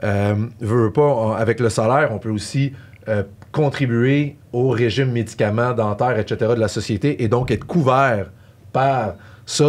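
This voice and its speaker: A man speaks with a Quebec accent at a medium pitch and with ordinary pitch variation. The recording is very clean, with a silent background. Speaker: tax specialist. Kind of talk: podcast discussion. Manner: fast; hesitant, many fillers.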